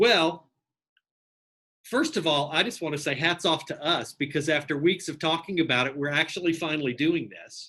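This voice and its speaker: Fairly high-pitched male voice with an East Texas accent, a bright, sharp tone, ordinary pitch variation and a moderate pace, over a quiet background. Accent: East Texas twang. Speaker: bookstore general manager. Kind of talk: interview host conversation.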